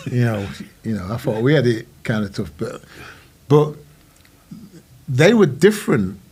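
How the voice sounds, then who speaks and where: Speaking with a northern English accent, a man talks at a moderate pace with a medium pitch, lively intonation, a somewhat breathy sound and long, frequent pauses. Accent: northern English, broad. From northern England, Worksop. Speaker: musician. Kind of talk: casual chat.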